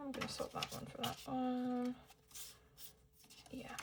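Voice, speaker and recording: A soft-spoken woman is whispering at a moderate pace. Noticeable background noise is present. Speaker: budgeting vlogger. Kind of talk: casual vlog tutorial. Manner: soft, near-whispering.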